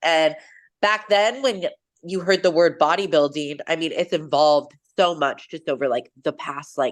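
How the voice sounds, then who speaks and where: At a moderate pace, a woman with a West Coast accent speaks in a fairly low pitch with ordinary variation. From Washington State, US. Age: 30s. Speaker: bikini bodybuilding competitor and coach. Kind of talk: interview. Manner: casual, many fillers.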